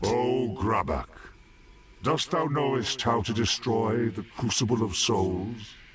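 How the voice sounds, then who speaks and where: Using a put-on character voice, a man talks at a fairly slow pace and medium pitch, with clear background noise. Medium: video game. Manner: earnest, archaic thee-and-thou phrasing.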